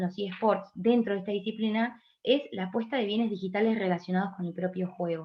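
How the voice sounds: A woman with a medium-pitched voice speaks at a fairly quick pace with ordinary pitch variation.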